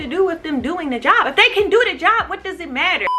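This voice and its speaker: A woman speaks very fast in a raised, projected voice at an extremely high pitch. Her pitch swings very widely over noticeable background noise. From United States. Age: 20s. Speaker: vlogger. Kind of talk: casual vlog rant. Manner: animated, stuttering when upset.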